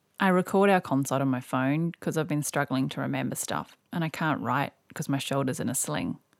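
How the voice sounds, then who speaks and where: With a New Zealand accent, a woman speaks at a moderate pace in a very deep, low pitch with vocal fry and lively intonation, on a very clean recording with a silent background. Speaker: podcast host. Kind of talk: scripted narration.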